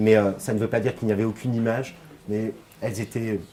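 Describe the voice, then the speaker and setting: Pitched fairly low, the man's voice moves along fairly quickly. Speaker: conference speaker. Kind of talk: lecture and Q&A.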